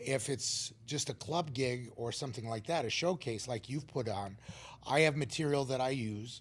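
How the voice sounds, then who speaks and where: The somewhat breathy voice moves at a moderate pace with ordinary pitch variation. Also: man, medium pitch for a man. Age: 60s. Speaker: stand-up comedian. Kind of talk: talk show interview.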